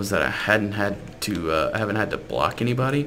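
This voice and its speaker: A man's fairly low voice with an American accent, amid noticeable background noise and audible room echo. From South Louisiana. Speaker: gaming YouTuber. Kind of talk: casual gameplay commentary.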